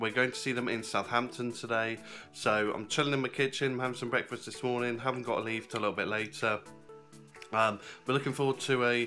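Faint music plays in the background. A man talks at a very fast pace with monotone, flat intonation. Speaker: wrestling fan vlogger. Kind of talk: casual vlog chat. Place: kitchen. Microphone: phone near.

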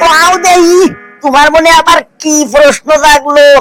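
This is a cartoonish character voice delivered at a moderate pace. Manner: folksy, wry.

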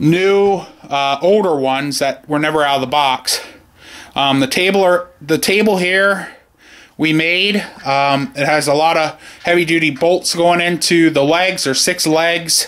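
This man talks at a fairly slow pace, his loudness very even and his pitch varying in an ordinary way. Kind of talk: casual tutorial narration. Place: garage. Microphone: phone near.

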